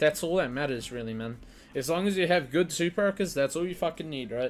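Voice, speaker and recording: The speaker's intonation is lively and the pace fairly quick, with music playing behind the voice. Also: man. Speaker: gaming content creator. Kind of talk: game build tutorial. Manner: fast; casual, profane.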